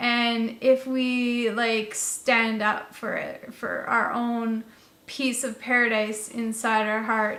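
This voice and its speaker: A woman speaks in a fairly high pitch with monotone, flat intonation, and audible room echo surrounds her voice. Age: 30s. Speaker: vlogger. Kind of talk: casual monologue. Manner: rambling with many fillers.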